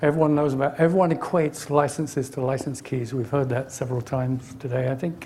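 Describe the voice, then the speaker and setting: Noticeable background noise surrounds a man with an English accent talking at a very fast pace. His pitch is fairly high and his intonation fairly even. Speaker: technologist giving a conference talk. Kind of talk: conference presentation. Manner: hesitant, many fillers.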